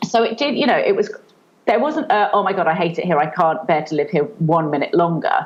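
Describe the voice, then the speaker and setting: A woman with a British accent at a medium pitch, very wide pitch swings and a fairly quick pace. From England. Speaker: children's author and online entrepreneur. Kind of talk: podcast interview. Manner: hesitant, many fillers.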